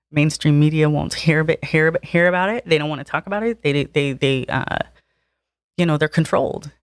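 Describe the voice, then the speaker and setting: A woman's very deep, low voice with a Southern California accent, at a fairly quick pace with ordinary pitch variation, in a dry, close sound with no echo. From Harbor City, Los Angeles. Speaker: former inmate of women's prison, activist. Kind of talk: casual interview chat.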